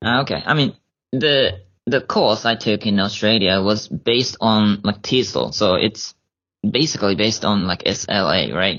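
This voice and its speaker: A man speaks with a Japanese accent at a fairly slow pace. His pitch is fairly low, with ordinary variation and very even loudness. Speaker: high school English teacher and graduate student. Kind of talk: casual interview chat. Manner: halting, many fillers.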